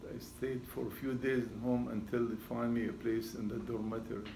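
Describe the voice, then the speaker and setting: Speaking in a monotone, flat intonation, a man with a Syrian accent is heard with audible room echo. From Syria, Damascus. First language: Arabic. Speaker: retired seismology professor. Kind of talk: talk to audience.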